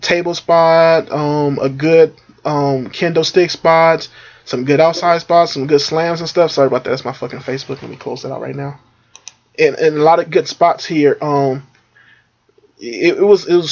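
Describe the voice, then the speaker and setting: A fairly high-pitched man at a moderate pace, with fairly even intonation and big swings in loudness. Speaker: wrestling reviewer. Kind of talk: casual review monologue. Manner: filler-heavy, halting.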